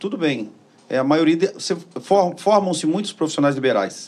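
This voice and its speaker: The voice belongs to a man. It has a fairly high pitch. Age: 60s. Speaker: podcast host. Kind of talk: interview. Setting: studio.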